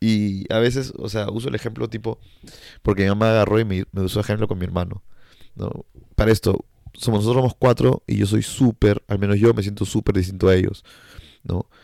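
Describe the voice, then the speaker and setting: A man talks at a fairly quick pace with a fairly low pitch and a dark, mellow tone. The sound is dry and close, with no echo. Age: 20s. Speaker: podcast host. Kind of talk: casual solo monologue. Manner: animated.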